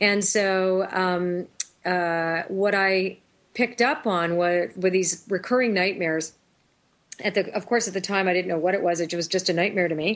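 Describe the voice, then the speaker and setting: A woman's voice, a normal speaking voice, sits at a medium pitch, moving at a moderate pace with ordinary pitch variation. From Toronto, Canada. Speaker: intuitive, author and singer. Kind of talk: interview chat.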